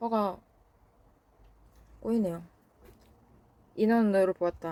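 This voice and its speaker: A woman at a medium pitch with ordinary pitch variation, in a very clean recording with a silent background. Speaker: book vlogger. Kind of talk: casual vlog talk. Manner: halting, tongue-tied.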